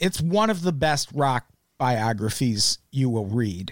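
A man's voice leaps through very wide pitch swings. The sound is dry and close with no echo, on a very clean recording with a silent background. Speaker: comedy music podcast host. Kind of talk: casual chat.

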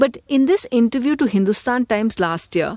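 At a moderate pace, a woman speaks high and with lively intonation, the sound dry and close with no echo in a very clean recording with a silent background. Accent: Indian. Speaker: podcast host and political editor. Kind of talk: scripted narration with interview links.

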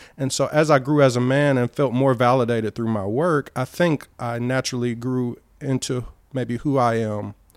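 A man's medium-pitched voice with a Southern US accent, fairly even intonation, and moderate pace, over a very clean, silent background. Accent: Southern American English. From US, Cleveland, Ohio. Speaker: performance poet and hip hop artist. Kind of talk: casual chat. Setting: at the host's home overlooking the sea.

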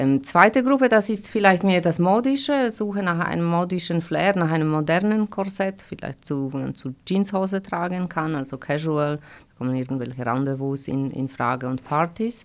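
A woman with a Polish accent, fairly low-pitched, her pitch swinging very widely and her loudness rising and falling sharply, at a moderate pace with hardly any pauses, on a very clean recording with a silent background. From Poland, Gdańsk. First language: Polish (speaking German). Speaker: corset maker. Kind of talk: interview. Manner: halting, many fillers.

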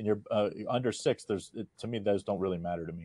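Delivered at a very fast pace, the voice has a dark, mellow tone and a dry, close sound with no echo. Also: man. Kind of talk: casual betting analysis.

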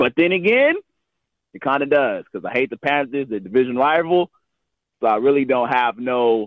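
Lively intonation at a moderate pace from a man with an ordinary speaking voice. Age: 20s. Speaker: caller. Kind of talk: call-in opinion.

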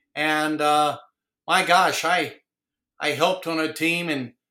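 A man's fairly high, bright, sharp voice in an American accent with monotone, flat intonation. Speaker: retired high school football coach. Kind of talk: casual interview. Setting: video call.

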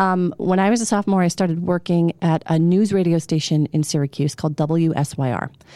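Quickish in pace, a woman speaks at a fairly low pitch with a dark, mellow tone, very even loudness and ordinary pitch variation. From Pennsylvania, Berks County. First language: not English as a small child. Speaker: TV news reporter. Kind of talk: casual chat. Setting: studio.

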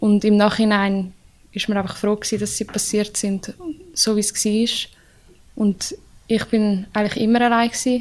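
A woman speaks in a fairly high pitch with monotone, flat intonation. She leaves long, frequent pauses. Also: moderate pace. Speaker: ice hockey player. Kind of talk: casual interview.

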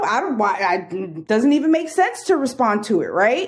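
A woman with a New York accent, at a moderate pace, with very wide pitch swings. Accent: New York area. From New York, Bronx. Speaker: yarn business owner. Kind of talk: casual chat.

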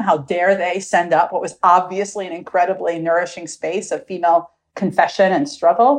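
An unremarkable speaking voice, this woman's has a medium pitch and a fairly quick pace, with an American accent. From US Midwest, Milwaukee, Wisconsin. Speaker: professor of religious studies. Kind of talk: interview.

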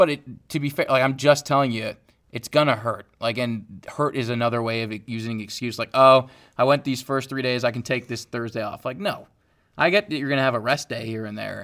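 On a very clean recording with a silent background, a plain, everyday voice runs at a fairly quick pace, its pitch varying in an ordinary way. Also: man, medium pitch for a man. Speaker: podcast co-host. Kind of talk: casual chat.

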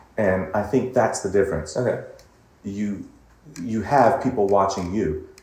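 With an American accent, a man speaks at a fairly slow pace in a somewhat breathy voice, with audible room echo around him. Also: fairly low pitch for a man, ordinary pitch variation. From US West Coast, Pasadena, California. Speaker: vocal coach and singer. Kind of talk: casual interview.

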